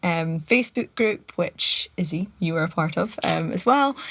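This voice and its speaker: Here a woman speaks with a Scottish accent. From Scotland. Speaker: podcast guest. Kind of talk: casual chat.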